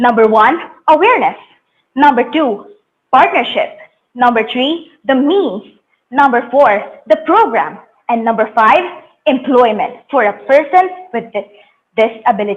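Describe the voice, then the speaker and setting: Spoken in a Filipino accent at a fairly slow pace. The intonation is lively, broken by long, frequent pauses. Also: woman, high pitch for a woman. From Philippines, Bicol region. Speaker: youth competition presenter. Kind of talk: presentation speech.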